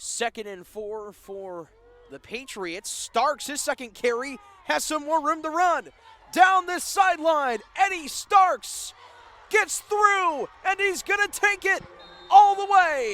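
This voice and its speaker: A man speaks in a raised, projected voice at an extremely high pitch, his pitch swinging very widely and his loudness rising and falling sharply, all at a very slow pace. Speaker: sports play-by-play announcer. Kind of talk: live football play-by-play call.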